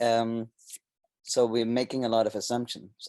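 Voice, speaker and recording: Over a quiet background, a man speaks with a German accent at a moderate pace. His pitch is medium, and his tone is dark and mellow. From Germany. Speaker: sociocracy trainer and consultant. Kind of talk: presentation. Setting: webinar. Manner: hesitant, with fillers and restarts.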